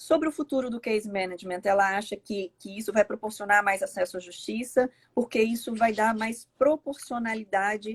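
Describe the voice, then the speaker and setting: At a moderate pace, a woman talks with a fairly high, somewhat breathy voice and ordinary pitch variation, the sound dry and close with no echo. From Brazil. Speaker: law professor. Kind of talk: live webinar interview. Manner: halting.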